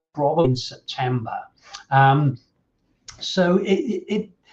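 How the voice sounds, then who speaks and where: A man speaking very slowly in a fairly high, somewhat breathy voice with lively intonation. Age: 60s. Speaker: safeguarding consultant and trainer. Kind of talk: online presentation. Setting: live-streamed online event. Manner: halting, many fillers and repeats.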